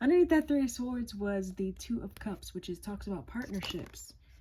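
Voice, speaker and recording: A woman talks in a plain, everyday voice, her medium pitch showing ordinary variation. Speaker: tarot reader. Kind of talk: tarot reading.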